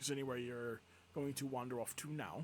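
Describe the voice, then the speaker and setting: Using a put-on character voice at a medium pitch, a man talks at a fairly quick pace over clear background noise. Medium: actual play. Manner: polite, courteous.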